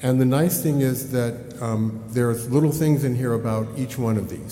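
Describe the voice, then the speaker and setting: Noticeable background noise and audible room echo surround a man. His pace is fairly quick and his intonation fairly even. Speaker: organization chief executive. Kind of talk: business report presentation. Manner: loud; fast.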